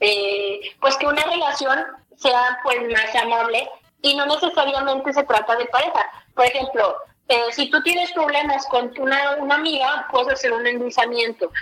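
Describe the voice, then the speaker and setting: Her raised, projected voice sits high for a woman, holding a very even loudness at a moderate pace with ordinary pitch variation. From Torreón, Coahuila, northern Mexico. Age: 20s. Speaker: youtuber on paranormal topics. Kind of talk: casual interview.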